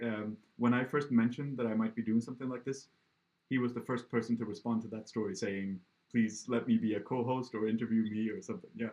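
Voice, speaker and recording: A man's medium-pitched voice with a slight Swedish accent, very fast and fairly even in intonation. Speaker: podcast interviewer. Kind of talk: casual interview chat. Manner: halting with fillers.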